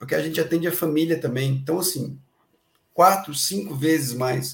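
Ordinary pitch variation marks this man's speech. His pitch sits fairly high. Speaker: social services worker. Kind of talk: interview. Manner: talkative.

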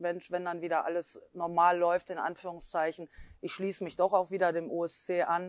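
Monotone, flat intonation at a fairly quick pace. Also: woman. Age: 40s. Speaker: sports club board member and football coach. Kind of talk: interview. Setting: video recording.

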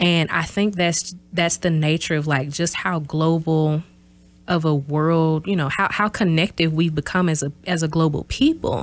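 In a Southern US accent, a woman speaks with fairly even intonation. The recording is very clean, with a silent background. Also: fairly low pitch for a woman, moderate pace. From US South, small-town south Mississippi. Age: 30s. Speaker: university professor. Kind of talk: interview.

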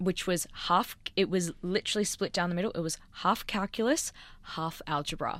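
A woman with an Australian accent talks at a moderate pace in a medium pitch, her pitch varying in an ordinary way. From Australia, Sydney. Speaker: scientist. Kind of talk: casual chat. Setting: studio.

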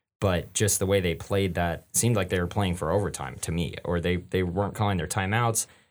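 Speaking at a very fast pace, a man with a very deep, low voice uses ordinary pitch variation on a very clean recording with a silent background. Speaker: student sports podcast co-host. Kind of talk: casual sports talk. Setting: podcast studio, wearing masks.

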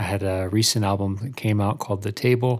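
Using a plain, everyday voice, a man speaks fairly quickly at a fairly low pitch. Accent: American. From Albany, New York, US. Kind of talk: casual chat.

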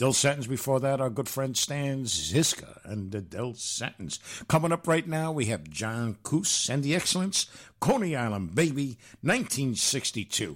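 A man with a plain, everyday voice speaks at a fairly slow pace, his medium pitch carried by lively intonation. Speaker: oldies radio DJ. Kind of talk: radio DJ patter, back-announcing song titles and artists between records. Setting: radio studio. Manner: breezy, upbeat announcer tone rattling off station IDs.

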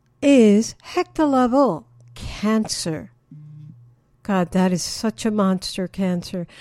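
In a very clean recording with a silent background, a woman speaks at a fairly high pitch with a dark, mellow tone and lively intonation. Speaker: radio host. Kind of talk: radio DJ patter introducing songs, bilingual. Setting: radio show. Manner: warm, upbeat, conversational; personal, motivational.

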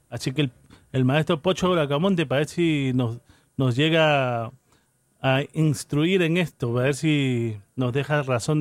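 A man talks at a fairly slow pace with a fairly high pitch and ordinary pitch variation. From Callao, Peru. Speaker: radio host playing salsa. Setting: radio studio broadcast. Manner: casual and conversational, with laughs, asides and unscripted pauses.

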